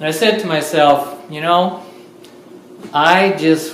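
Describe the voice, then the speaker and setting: Over noticeable background noise and audible room echo, a man talks at a fairly slow pace. His pitch is fairly high, with ordinary variation. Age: 60s. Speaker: lecturer and artist. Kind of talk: public talk to an audience. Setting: art studio open house with audience.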